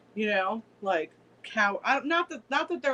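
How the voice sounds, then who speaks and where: Noticeable background noise accompanies a woman speaking at a moderate pace. Her pitch swings very widely. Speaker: co-host of a witchcraft live stream. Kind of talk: casual chat.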